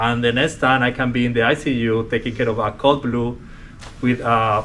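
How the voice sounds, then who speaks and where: Speaking with a strong Colombian accent, a man keeps a medium pitch, a fairly quick pace and monotone, flat intonation. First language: Spanish. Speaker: respiratory therapist. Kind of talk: workplace interview.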